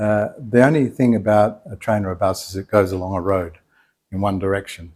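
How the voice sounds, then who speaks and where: In an Australian accent, the voice moves with ordinary pitch variation over a very clean recording with a silent background. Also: man. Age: 60s. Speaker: retired architect, traveller. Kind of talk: interview answer. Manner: casual, relaxed.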